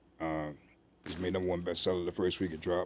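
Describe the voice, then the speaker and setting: A man with an American accent, a very deep, low pitch, monotone, flat intonation and a very fast pace. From US South. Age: 60s. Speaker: author. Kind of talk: interview.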